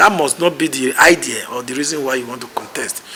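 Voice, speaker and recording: Noticeable background noise is present throughout. Over it, a man speaks fairly quickly. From Nigeria, Benin City. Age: 60s. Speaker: political candidate. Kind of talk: interview.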